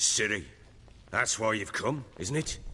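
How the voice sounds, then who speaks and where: Using a raspy, put-on character voice at medium pitch, a man speaks at a fairly slow pace against clear background noise. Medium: video game. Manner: gruff, blunt.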